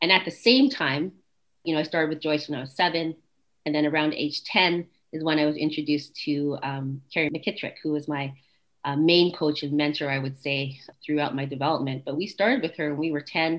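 In a very clean recording with a silent background, a woman with a Canadian accent speaks at a fairly quick pace, her very deep, low pitch carrying fairly even intonation. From Canada, Winnipeg, Manitoba. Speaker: professor of sport psychology. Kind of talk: interview.

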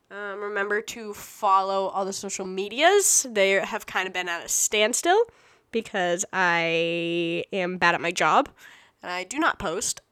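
At a fairly slow pace, a woman with a medium-pitched voice and a bright, sharp tone speaks with big swings in loudness. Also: ordinary pitch variation. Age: 20s. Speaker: podcast host. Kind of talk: casual monologue. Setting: home podcast room. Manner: halting.

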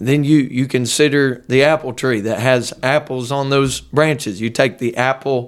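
In a very clean recording with a silent background, a man with an American accent talks in a plain, everyday voice with fairly even intonation. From Ohio, near Dayton. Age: 20s. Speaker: pastor. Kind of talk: casual interview; sermon-style teaching.

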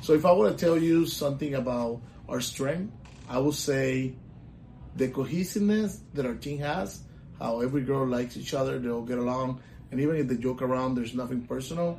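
Speaking fairly quickly with a Puerto Rican accent, a man uses a medium pitch and ordinary pitch variation amid audible room echo. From Puerto Rico. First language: Spanish. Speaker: volleyball coach. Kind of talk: casual interview.

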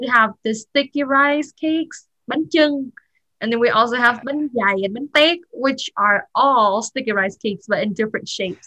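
Here a woman speaks with a Vietnamese accent, at a high pitch and a moderate pace. Her tone is bright and sharp, with ordinary pitch variation, and the sound is dry and close with no echo. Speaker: student. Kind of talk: casual chat.

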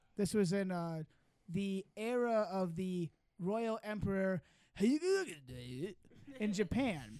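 A high-pitched man with an American accent, talking at a very slow pace with long, frequent pauses. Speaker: podcast host. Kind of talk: casual comedy banter. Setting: studio, video recorded.

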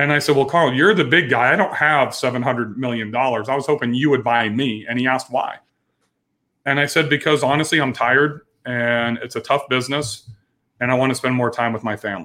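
Fairly quick speech with ordinary pitch variation, in an American accent. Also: man, medium pitch for a man. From US West Coast (Bakersfield, California). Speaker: business coach and former limo company owner. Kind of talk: podcast interview.

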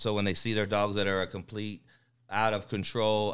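In a very clean recording with a silent background, a man with a North Carolina accent speaks at a moderate pace in a fairly low pitch with a bright, sharp tone. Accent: Southern US, North Carolina. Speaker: dog trainer.

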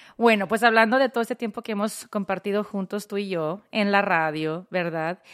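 Her voice sits at a medium pitch with ordinary variation, and the woman moves at a moderate pace with hardly any pauses. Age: 40s. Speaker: podcast host and radio personality. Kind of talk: casual chat.

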